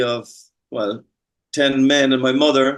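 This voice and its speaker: A man with an Irish accent. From Ireland. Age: 50s. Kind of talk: interview testimony.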